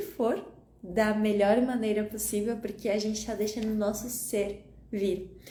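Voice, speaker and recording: A woman's dark, mellow, somewhat breathy voice with audible room echo. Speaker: holistic wellness coach. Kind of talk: live stream talk. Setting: Instagram live. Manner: calm, gentle.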